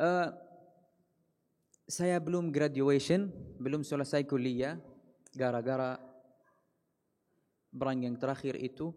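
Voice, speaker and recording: With an Arabic accent, a man talks at a very slow pace with long, frequent pauses, his fairly high pitch moving in an ordinary way. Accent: Arabic-accented Indonesian. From Palestine, Gaza. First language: Arabic (speaking Indonesian). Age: 20s. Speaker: Islamic preacher. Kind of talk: religious talk. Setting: mosque. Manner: halting.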